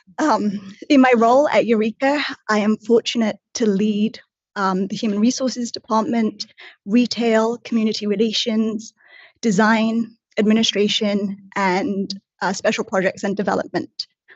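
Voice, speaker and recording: A somewhat breathy woman with fairly high pitch and fairly even intonation. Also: moderate pace. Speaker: casino executive and in-house lawyer. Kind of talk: formal testimony before a regulatory board.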